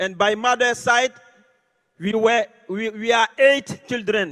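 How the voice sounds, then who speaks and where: In an Ivorian accent, a man speaks at an extremely high pitch and a very slow pace, in a dry, close recording with no echo. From Côte d'Ivoire. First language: French. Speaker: network marketing leader. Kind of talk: motivational speech.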